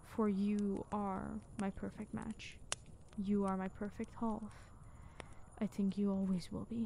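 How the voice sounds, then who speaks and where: A soft-spoken woman talks at a fairly slow pace with long, frequent pauses and flat, monotone intonation. Her voice is warm, dark, mellow and somewhat breathy, over light background noise. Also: medium pitch for a woman, dry sound with no echo. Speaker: asmr creator. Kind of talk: whispered asmr roleplay as a viking girlfriend. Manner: soft, intimate, tender, slow-paced and loving; breathy sighs, warm and reassuring, formal old-fashioned phrasing. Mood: tender, affectionate.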